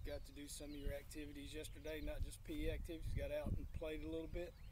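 The recording is dry, with no echo at all. Noticeable background noise accompanies a man's voice. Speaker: PE teacher. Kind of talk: lesson for children. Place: garden.

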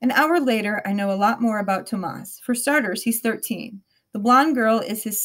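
Heard over a quiet background, an unforced reading voice carries ordinary pitch variation.

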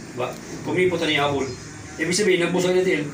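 Music plays in the background. A man's high-pitched voice carries ordinary pitch variation. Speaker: product presenter. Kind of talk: sales pitch. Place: home room. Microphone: camera far.

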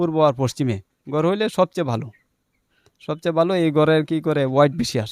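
Here is a man with an unremarkable speaking voice. His pitch is fairly high, with ordinary variation. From Bangladesh, Netrokona district. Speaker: poultry farmer. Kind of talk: interview.

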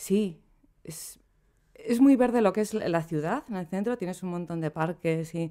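A woman's moderately paced speech, with ordinary pitch variation, comes through over a quiet background. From Spain, Basque Country (Bilbao). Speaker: poet and translator; poet. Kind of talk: interview. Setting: studio. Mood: relaxed, reflective. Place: home room. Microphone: studio mic.

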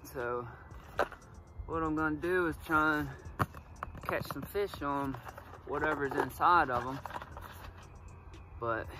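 There is noticeable background noise as a man talks at a fairly slow pace with long, frequent pauses and ordinary pitch variation, the sound dry with no echo. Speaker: fishing vlogger. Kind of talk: casual vlog chat. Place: forest.

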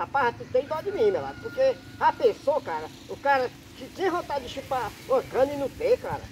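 A man talks fairly quickly while light background noise sits behind him. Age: 50s. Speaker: farmer. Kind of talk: casual chat. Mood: joking, pleading tone. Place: farm.

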